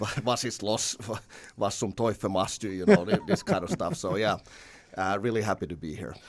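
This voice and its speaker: On a very clean recording with a silent background, a man with a Finnish accent talks at a fairly quick pace with fairly even intonation. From Finland. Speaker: basketball head coach. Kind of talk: casual chat. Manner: halting, many repeated words.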